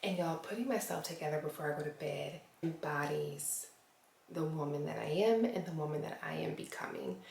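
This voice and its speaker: Against noticeable background noise and audible room echo, a woman whispers at a fairly quick pace. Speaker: lifestyle vlogger. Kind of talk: casual vlog talk to camera. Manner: whispering.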